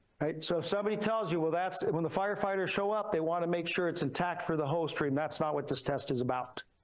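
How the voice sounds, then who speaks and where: A man talks at a very fast pace in a high pitch, with ordinary pitch variation and hardly any pauses. His loudness stays very even, and noticeable background noise is present. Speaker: structural engineer. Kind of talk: conference talk.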